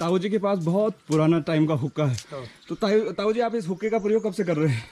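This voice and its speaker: A man's high voice with ordinary pitch variation. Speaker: travel vlogger. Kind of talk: vlog walk-and-talk with villager interviews. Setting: outdoors, mountain trail. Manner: casual, friendly.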